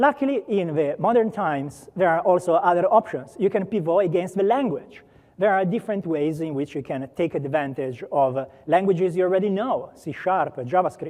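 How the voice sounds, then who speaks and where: Speaking at a moderate pace with hardly any pauses, a man with an Italian accent uses a high pitch and lively intonation. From Italy. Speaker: software program manager. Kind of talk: conference talk. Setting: stage with audience. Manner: many filler words.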